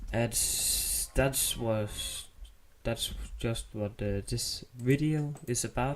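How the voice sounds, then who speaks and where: A man speaks with a Danish accent. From Denmark. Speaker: gaming YouTuber. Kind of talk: gameplay tutorial. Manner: halting, many fillers.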